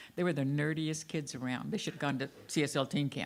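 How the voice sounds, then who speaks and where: Fairly quick speech with an American accent and ordinary pitch variation, on a very clean recording with a silent background. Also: woman. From US South. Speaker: minister. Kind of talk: sermon. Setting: church.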